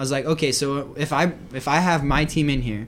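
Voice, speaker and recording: A man speaks in an unremarkable speaking voice, fairly high in pitch with fairly even intonation. His moderate pace is heard in a very clean recording with a silent background. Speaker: podcast host. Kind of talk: casual chat.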